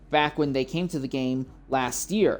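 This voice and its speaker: A woman talks at a moderate pace with ordinary pitch variation. Her voice is very deep and low. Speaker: sim racing broadcast host. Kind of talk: live commentary. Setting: livestream. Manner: halting.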